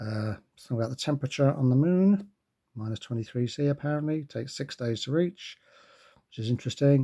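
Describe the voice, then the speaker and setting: Soft-spoken and somewhat breathy, a man talks with a dark, mellow tone. He moves at a fairly quick pace with lively intonation. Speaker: watch reviewer. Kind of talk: product review with unboxing. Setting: indoors at night, home recording. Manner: quiet, talking softly.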